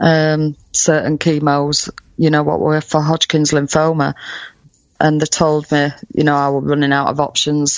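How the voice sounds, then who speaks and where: With a northern English accent, the voice keeps very even loudness and monotone, flat intonation. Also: woman, very deep, low pitch for a woman, moderate pace. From UK. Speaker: cancer survivor. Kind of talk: interview testimony. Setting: remote call. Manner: halting.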